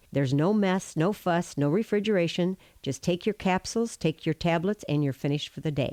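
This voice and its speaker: Dry and close with no echo on a very clean recording with a silent background, a woman uses a normal speaking voice at a fairly low pitch, with ordinary pitch variation and a fairly quick pace. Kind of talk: testimonial product endorsement.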